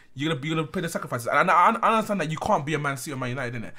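A man speaks at a very fast pace, his tone bright and sharp and his intonation lively. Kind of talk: casual banter among friends. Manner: joking, banter-heavy.

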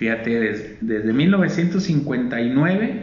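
A man's fairly high voice with lively intonation, amid audible room echo. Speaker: radio co-host. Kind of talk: casual chat. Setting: live broadcast from a library.

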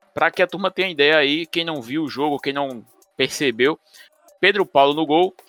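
With music in the background, a man talks at a moderate pace in a fairly high voice with ordinary pitch variation, the sound dry and close with no echo. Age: 40s. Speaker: football podcast host. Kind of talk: casual chat.

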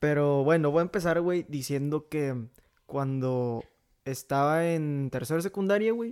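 Delivered at a fairly slow pace, this is an ordinary speaking voice with ordinary pitch variation. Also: man. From Mexico, Coahuila. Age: 18. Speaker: podcast co-host. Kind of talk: casual chat; podcast intro.

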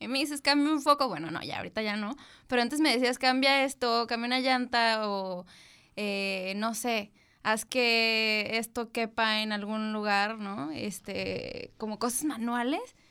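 Bright and sharp in tone, a woman's fairly high voice moves at a fairly slow pace with ordinary pitch variation on a very clean recording with a silent background. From Tijuana, Mexico. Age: 30s. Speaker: journalist. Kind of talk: casual chat.

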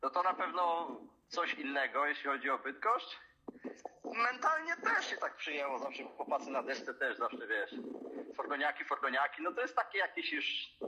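Noticeable background noise fills the clip as a man talks at a moderate pace. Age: 30s. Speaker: skateboarder and clinical research coordinator. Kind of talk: casual interview.

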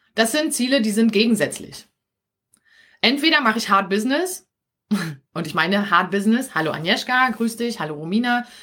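A woman with a Berlin accent has a bright, sharp tone and a fairly high pitch. Her pitch swings very widely at a moderate pace, broken by long, frequent pauses. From Berlin area, Germany. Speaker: podcast host and business coach for mothers. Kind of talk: live stream coaching talk. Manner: casual with many filler sounds.

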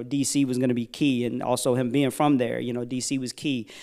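A man speaks with an American accent at a medium pitch, in a monotone, flat intonation. The recording is very clean, with a silent background. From US Mid-Atlantic (DC/Virginia area). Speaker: record label promotion executive. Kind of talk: interview at a public forum. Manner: casual.

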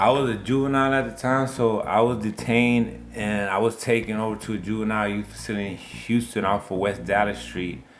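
A man with an American accent in a normal speaking voice, fairly low in pitch, fairly quick, with fairly even intonation and hardly any pauses. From Texas, Baytown. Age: 40s. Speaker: wrongful conviction exoneree. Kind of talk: interview testimony.

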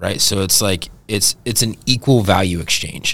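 This is a plain, everyday voice. Its pitch varies in an ordinary way. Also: man. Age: 30s. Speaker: podcast host. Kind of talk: casual interview.

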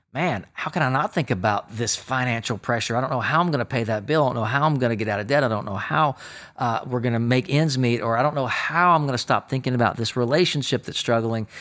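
In a very clean recording with a silent background, a man at a medium pitch talks at a very fast pace with ordinary pitch variation. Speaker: pastor and podcast host. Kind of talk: casual encouraging talk, faith-based. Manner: upbeat, encouraging.

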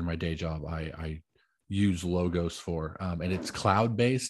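The speaker uses ordinary pitch variation at a moderate pace. The background is quiet. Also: man. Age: 30s. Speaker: podcast co-host, preacher. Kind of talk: casual chat.

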